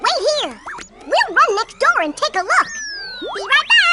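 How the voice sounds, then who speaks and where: A squeaky, cartoonish character voice plays over faint background music and sound effects. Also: moderate pace. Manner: excitable.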